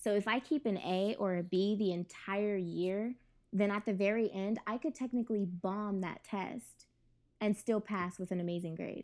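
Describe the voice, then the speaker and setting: A woman with an American accent has an ordinary speaking voice, a medium pitch and ordinary pitch variation at a moderate pace. The recording is very clean, with a silent background. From California. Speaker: podcast guest. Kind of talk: casual chat.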